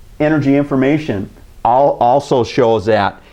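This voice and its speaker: Speaking with an Upper Midwest accent, a man has a fairly high pitch. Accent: Upper Midwest (Minnesota). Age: 60s. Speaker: community TV host. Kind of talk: opinion commentary to camera. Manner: halting, many fillers.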